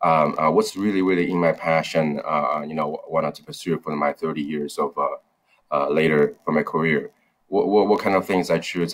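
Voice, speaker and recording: A man at a moderate pace with a Chinese accent. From China (Wenzhou). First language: Mandarin Chinese. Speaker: startup founder. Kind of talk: interview. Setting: video call. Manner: halting, many fillers and repetitions. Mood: reflective. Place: office. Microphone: video call.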